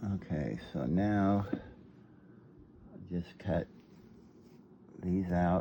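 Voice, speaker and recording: A man speaks with a very deep, low pitch. His voice shows vocal fry. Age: 70s. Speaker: grandfather, hobby costume maker. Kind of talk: casual crafting talk to camera.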